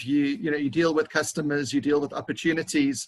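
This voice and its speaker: A man talks with a South African accent. His intonation is lively. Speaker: business consultant. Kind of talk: interview.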